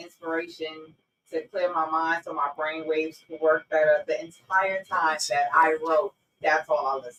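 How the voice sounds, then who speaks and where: Speaking at a fairly slow pace, a woman with a New York accent has a very deep, low pitch. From New York, Brownsville (Brooklyn). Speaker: author. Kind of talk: interview.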